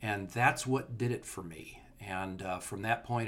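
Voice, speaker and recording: A man speaks with a Californian accent. His pitch varies in an ordinary way. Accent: General American (Californian). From Southern California. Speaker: entomologist and author. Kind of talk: interview, casual chat.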